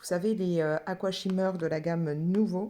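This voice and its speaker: Her tone is dark and mellow, and this woman's very clean recording has a silent background. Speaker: craft and colouring vlogger. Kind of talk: casual vlog chat. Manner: halting, many hesitations.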